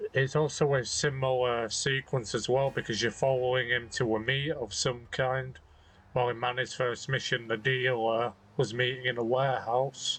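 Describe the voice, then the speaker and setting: Spoken in a British accent, the voice stays monotone and flat at a very even loudness. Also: man, medium pitch for a man, moderate pace. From Britain. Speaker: video game let's play commentator. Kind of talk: gameplay commentary.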